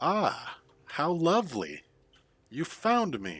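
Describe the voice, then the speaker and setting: In a put-on character voice, the speaker draws out words at a very slow pace with very wide pitch swings. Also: man, high pitch for a man. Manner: girly, giggly.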